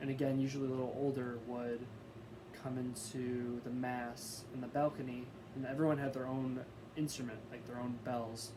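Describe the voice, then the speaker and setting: A man talks at a moderate pace in a monotone, flat intonation. The recording has audible room echo and noticeable background noise. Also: medium pitch for a man. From US Midwest (Wisconsin, Chicago). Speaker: college student. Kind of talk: class presentation. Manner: halting, many fillers.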